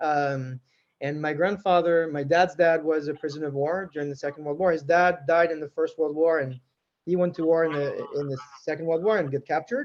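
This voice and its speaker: With a French accent, a man talks at a moderate pace in a fairly high voice with fairly even intonation. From France. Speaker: tech executive. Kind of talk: interview.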